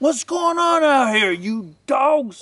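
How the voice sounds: A man's put-on character voice, extremely high-pitched and bright, sharp in tone, slow in pace, with big pitch swings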